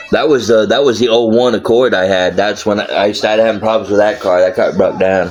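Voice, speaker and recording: This man speaks at a fairly quick pace with an American accent. Noticeable background noise runs behind him. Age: 30s. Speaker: live streamer. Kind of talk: casual live-stream monologue. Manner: animated, heavy swearing.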